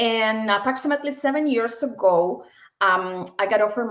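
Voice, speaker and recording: A woman with a slight Peruvian accent speaks at a moderate pace in a fairly high voice with ordinary pitch variation. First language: Spanish. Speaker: bank executive. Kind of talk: interview.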